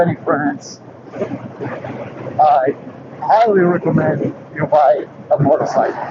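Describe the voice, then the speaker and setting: A man's high pitch and lively intonation at a very slow pace, amid noticeable background noise. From Portugal, emigrated young to another country. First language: not English (English is third language). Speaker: motorcycle vlogger. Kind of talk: casual vlog talk. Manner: halting with fillers.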